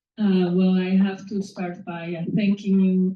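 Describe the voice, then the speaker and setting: With a Spanish accent, a woman speaks at a moderate pace in a fairly low, somewhat breathy voice with a dark, mellow tone and monotone, flat intonation. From Mexico City. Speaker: author. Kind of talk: speech at a reading. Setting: live event with audience. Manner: hesitant, many fillers.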